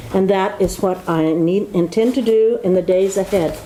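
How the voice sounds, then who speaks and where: A woman of medium pitch speaks at a moderate pace with ordinary pitch variation against noticeable background noise. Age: 80s+. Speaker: politician. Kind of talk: formal speech. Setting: ceremony with audience in government office.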